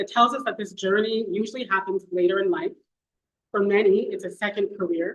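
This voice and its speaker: A woman speaks with a Canadian accent at a medium pitch. Her pace is fairly quick and her intonation lively. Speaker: paralegal and professional committee member. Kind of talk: ceremony speech. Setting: event hall with audience. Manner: soft-spoken.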